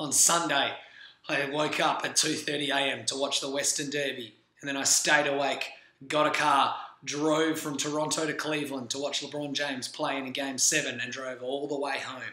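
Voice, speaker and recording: Energetic in tone, a man speaks at a moderate pace and a fairly high pitch, with noticeable background noise and audible room echo. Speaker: sports podcast host. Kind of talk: casual vlog commentary. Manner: casual, energetic.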